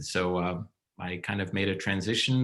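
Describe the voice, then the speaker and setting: A man with an American accent talks at a moderate pace in an unremarkable speaking voice with ordinary pitch variation. The recording is very clean, with a silent background. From New York. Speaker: stage director and former opera singer. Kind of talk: interview.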